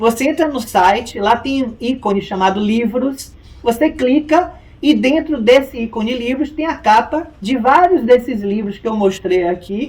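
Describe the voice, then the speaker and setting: This man's pitch is extremely high, with ordinary variation. He talks at a fairly slow pace. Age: 60s. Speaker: lawyer. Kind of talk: interview.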